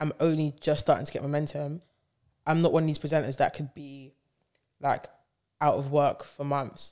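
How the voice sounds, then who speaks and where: In a London accent, a woman speaks with a dark, mellow tone and a very deep, low pitch on a very clean recording with a silent background. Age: 20s. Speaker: DJ and radio presenter. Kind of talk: casual chat.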